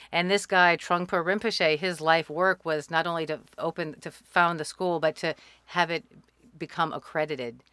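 A bright, sharp voice with an American accent, fairly even intonation and a moderate pace, dry and close with no echo. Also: woman, fairly low pitch for a woman. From US South, New Orleans. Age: 50s. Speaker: opera composer and army veteran. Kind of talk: casual chat. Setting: studio.

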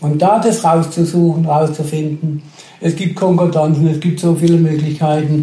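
A man speaks at a moderate pace in a fairly high pitch, monotone and flat, with very even loudness over noticeable background noise. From Karlsruhe area, Baden, Germany. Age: 60s. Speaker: retiree telling his faith story. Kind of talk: testimony.

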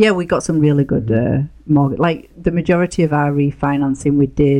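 A woman with a Yorkshire accent speaks in a very deep, low pitch with ordinary pitch variation. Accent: broad Yorkshire English. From northern England, near Leeds. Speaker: real estate investor. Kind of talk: casual interview.

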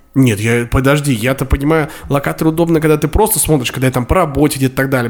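There is noticeable background noise as a man talks at a very fast pace. His pitch is fairly high, with ordinary variation. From Russia, Samara. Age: 20s. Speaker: podcast co-host. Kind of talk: casual chat. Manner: animated, fast.

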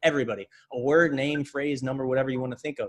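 A man with an American accent and a fairly high pitch. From Pennsylvania (Reading). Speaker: mentalist and illusionist. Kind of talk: casual interview chat.

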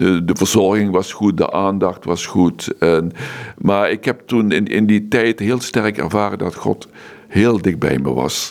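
A man's fairly low voice at a very slow pace, with ordinary pitch variation. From Netherlands, Limburg (Maastricht). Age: 70s. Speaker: monk. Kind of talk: interview. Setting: monastery.

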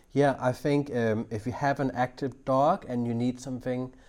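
A man at medium pitch, moderate pace and fairly even intonation, on a very clean recording with a silent background. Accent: Danish. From Denmark. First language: Danish. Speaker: dog trainer. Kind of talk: interview.

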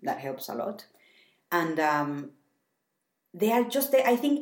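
With a Spanish accent, a woman talks at a very slow pace with very wide pitch swings, and audible room echo surrounds her voice. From Mexico. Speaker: podcast co-host, mother living abroad. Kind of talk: casual chat.

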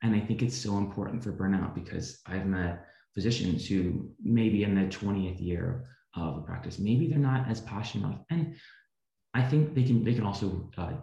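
A man with an American accent, somewhat breathy and dark, mellow in tone, at a fairly quick pace with lively intonation and audible room echo. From US Midwest, rural Missouri. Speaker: physician assistant student. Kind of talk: interview.

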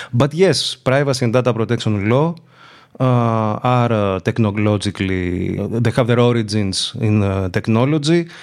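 With a Greek accent, a man talks at a medium pitch and a moderate pace, with ordinary pitch variation, very even loudness and a very clean recording over a silent background. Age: 40s. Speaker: law professor. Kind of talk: interview. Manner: hesitant, many fillers.

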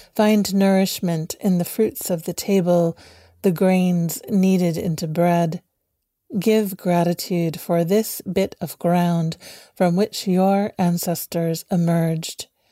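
A woman speaks very slowly at a fairly low pitch, her tone calm, soothing, dark and mellow, her intonation monotone and flat. The recording is very clean, with a silent background and a dry, close sound with no echo. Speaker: contemplative prayer leader. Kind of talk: guided meditation. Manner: slow, soft, calm and soothing; gentle, lyrical, reflective.

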